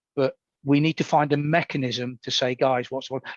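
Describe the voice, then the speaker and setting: A man speaks with an East Midlands accent. The sound is dry and close, with no echo. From England, Nottingham. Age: 60s. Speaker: Paralympian. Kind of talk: podcast interview.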